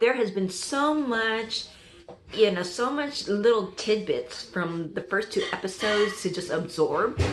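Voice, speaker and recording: Over noticeable background noise and audible room echo, a woman speaks at a fairly slow pace in an animated tone with ordinary pitch variation. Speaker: TV reaction youtuber. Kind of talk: casual reaction review. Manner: loud.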